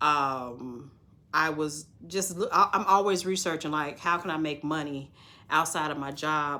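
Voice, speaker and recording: Pitched very deep and low, a woman speaks at a moderate pace with a bright, sharp tone and ordinary pitch variation. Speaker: notary signing agent coach. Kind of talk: casual vlog talk.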